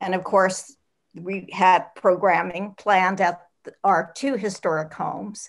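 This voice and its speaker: Over a quiet background, a plain, everyday voice moves at a fairly slow pace with fairly even intonation and big swings in loudness. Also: woman, medium pitch for a woman. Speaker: communications consultant. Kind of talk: audience comment. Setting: video call. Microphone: video call.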